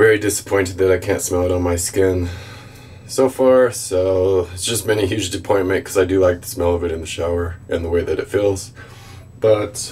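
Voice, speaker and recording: A man speaks at a fairly quick pace. His voice is very deep and low. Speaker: product reviewer. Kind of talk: casual vlog review. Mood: disappointed. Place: bathroom.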